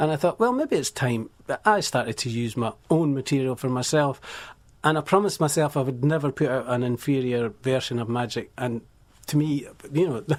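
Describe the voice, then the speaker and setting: A man with a Scottish accent talks at a fairly quick pace and medium pitch, with ordinary pitch variation, on a very clean recording with a silent background. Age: 60s. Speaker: musician. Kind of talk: radio interview. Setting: radio studio.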